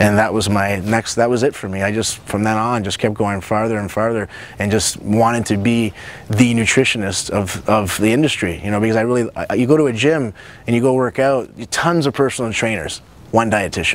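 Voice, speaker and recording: Over noticeable background noise, a man with a medium pitch talks at a fairly quick pace with ordinary pitch variation. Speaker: nutrition coach and cooking show host. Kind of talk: personal introduction to camera. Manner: fast; animated.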